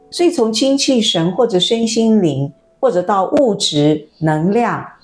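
A woman at medium pitch with very wide pitch swings. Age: 60s. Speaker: former journalist, spiritual wellness teacher. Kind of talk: interview.

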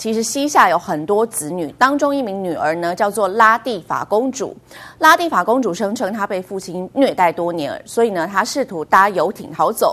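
The pace is moderate, and the pitch makes very wide swings. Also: woman. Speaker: news anchor. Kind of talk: news reading.

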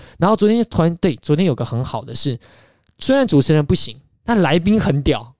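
A man talks at a fairly quick pace in a high pitch, with very wide pitch swings. The sound is dry and close, with no echo. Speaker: podcast host, film student. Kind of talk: casual chat.

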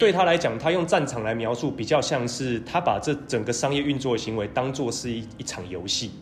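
A man's lively, fairly quick delivery with hardly any pauses, amid audible room echo. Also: medium pitch for a man. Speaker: podcast co-host, education social enterprise founder. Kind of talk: casual chat.

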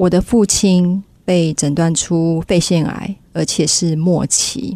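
Dark, mellow tone from a woman with a fairly low pitch. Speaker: business owner, former flight attendant. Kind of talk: storytelling speech.

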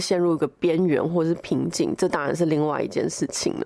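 A woman speaks in a dark, mellow tone with a fairly low pitch. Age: young. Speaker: podcast producer. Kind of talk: solo recorded commentary.

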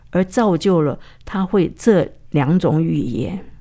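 A woman with a dark, mellow tone and a fairly low pitch speaks at a very slow pace with lively intonation. The recording is very clean, with a silent background. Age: 80s+. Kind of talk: testimony.

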